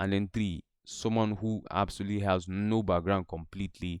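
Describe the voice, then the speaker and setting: A man's unremarkable speaking voice, fairly low in pitch, with fairly even intonation. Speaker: tech instructor. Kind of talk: online lecture.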